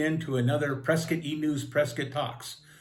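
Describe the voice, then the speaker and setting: A man's speech at a moderate pace comes with audible room echo. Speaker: local talk show host. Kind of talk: interview. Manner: casual.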